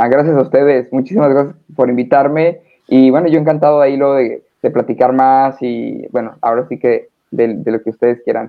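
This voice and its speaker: This man uses an ordinary speaking voice at a fairly quick pace. Medium in pitch, he keeps his intonation fairly even. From northern Mexico, Hermosillo, Sonora. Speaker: stage manager. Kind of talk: casual interview.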